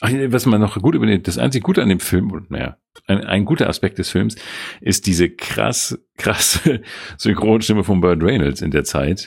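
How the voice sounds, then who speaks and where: This man's fairly low voice carries vocal fry and swings very widely in pitch. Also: moderate pace. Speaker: podcast co-host. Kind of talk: casual chat.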